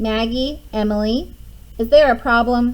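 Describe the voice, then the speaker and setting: A woman does a put-on character voice at a fairly high pitch, with fairly even intonation and a moderate pace. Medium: read story.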